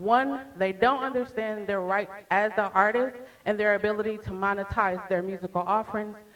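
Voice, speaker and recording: Over noticeable background noise, a woman at a medium pitch talks at a moderate pace with hardly any pauses. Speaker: startup founder pitching. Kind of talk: pitch presentation.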